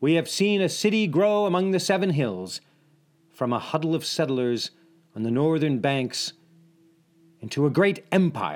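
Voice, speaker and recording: Over music in the background, a man with a fairly high pitch talks at a moderate pace with lively intonation and long, frequent pauses. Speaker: narrator. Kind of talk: epic historical narration, dramatic scripted storytelling. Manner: vivid, building tension, dramatic and ominous; addresses listener directly, as a guide.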